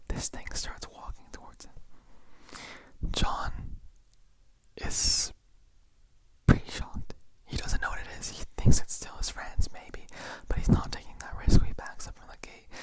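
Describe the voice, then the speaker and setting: A man whispers at a fairly slow pace, his loudness swinging widely, with long, frequent pauses. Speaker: ASMR creator. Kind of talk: scary story reading, ASMR. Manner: casual, relaxed, conversational.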